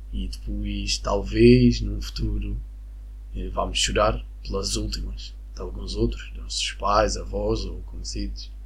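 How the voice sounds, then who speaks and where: With audible room echo and noticeable background noise, a man talks very slowly in a very deep, low pitch and a monotone, flat intonation. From Venezuela. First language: Spanish (speaking Portuguese). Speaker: podcaster. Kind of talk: solo monologue. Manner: calm.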